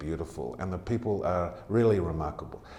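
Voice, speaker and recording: A man with an American accent speaks at a moderate pace and a fairly low pitch. His voice is somewhat breathy, with a dark, mellow tone. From Australia (Tamworth, NSW). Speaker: charity CEO. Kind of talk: interview.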